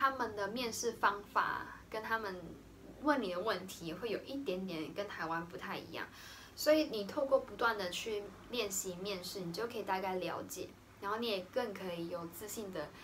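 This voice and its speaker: At a moderate pace, a woman talks at a medium pitch with ordinary pitch variation over light background noise. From Taiwan. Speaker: vlogger, art teacher. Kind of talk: casual vlog talk to camera.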